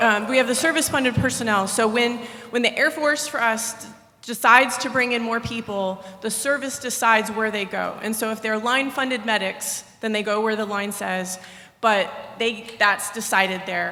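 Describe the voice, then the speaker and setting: Noticeable background noise and audible room echo surround the speaker. A woman talks with a fairly high pitch and fairly even intonation. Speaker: military medical officer, audience questioner. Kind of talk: audience question at conference. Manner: fast.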